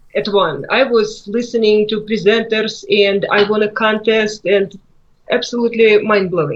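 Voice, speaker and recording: A woman speaks at a moderate pace with a Russian accent. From Russia, Moscow. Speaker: author. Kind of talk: interview.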